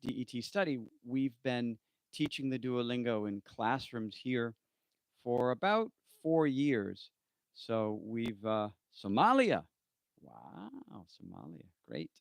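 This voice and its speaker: In a dry, close sound with no echo, a man with an American accent speaks at a very slow pace and a medium pitch, with ordinary pitch variation, long, frequent pauses and big swings in loudness. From US East Coast, Maine. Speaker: English test tutor. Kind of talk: live stream Q&A. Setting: live stream. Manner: hesitant, many fillers.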